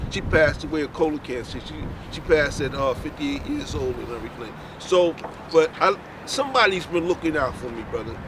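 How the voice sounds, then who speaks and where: With clear noise behind him, the man goes at a fairly quick clip while his loudness rises and falls sharply. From North Philadelphia. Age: 60s. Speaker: passerby. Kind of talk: casual chat.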